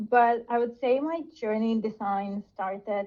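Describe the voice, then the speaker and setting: A woman with a Bulgarian accent talks at a fairly slow pace, her pitch varying in an ordinary way. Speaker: product designer. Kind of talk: interview.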